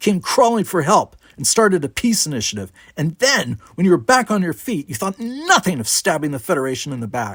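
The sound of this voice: Putting on a character voice, a man talks at a fairly high pitch with big pitch swings, a fairly bright tone and a slightly husky edge. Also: fairly quick pace.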